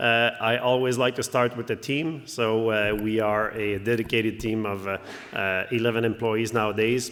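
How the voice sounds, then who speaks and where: A man with a French accent talks at a moderate pace and medium pitch in a monotone, flat intonation. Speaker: company CEO. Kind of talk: conference presentation. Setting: stage with audience. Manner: hesitant, many fillers.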